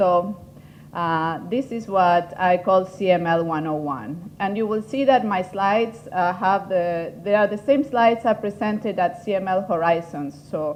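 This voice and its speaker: In an Argentine accent, the speaker goes at a fairly slow pace with ordinary pitch variation. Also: woman, medium pitch for a woman. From Argentina. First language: Spanish. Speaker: patient advocate and foundation head. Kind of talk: workshop presentation. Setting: conference room with audience.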